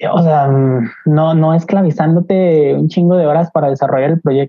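A woman's very deep, low pitch carries fairly even intonation. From Mexico, Aguascalientes. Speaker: graphic designer. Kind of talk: casual chat.

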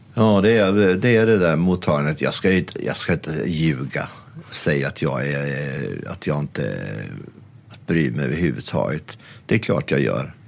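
A man speaks at a very deep, low pitch with lively intonation and a moderate pace. Noticeable background noise runs underneath. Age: 60s. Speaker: critic and columnist. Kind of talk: casual interview chat.

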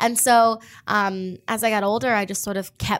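Fairly high in pitch with ordinary variation, a woman has an unremarkable speaking voice, captured on a very clean recording with a silent background. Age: 20s. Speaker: actress and singer. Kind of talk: interview.

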